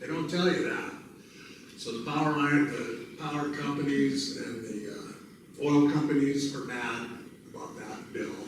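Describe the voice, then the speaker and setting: With an American accent, the speaker goes at a fairly slow pace with fairly even intonation and big swings in loudness, amid audible room echo and noticeable background noise. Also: man, fairly high pitch for a man. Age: 70s. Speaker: state legislator. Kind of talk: town hall talk. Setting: community meeting in a schoolhouse.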